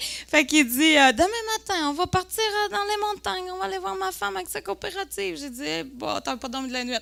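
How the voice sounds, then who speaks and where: Over noticeable background noise, a woman with a Lac-Saint-Jean accent speaks in an animated tone at a high pitch, with very wide pitch swings and big swings in loudness. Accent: Lac-Saint-Jean Quebec French. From Quebec, Lac-Saint-Jean. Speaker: entrepreneur, cosmetics company co-founder. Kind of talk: conference talk, personal storytelling. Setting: conference room with audience. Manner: animated, lively.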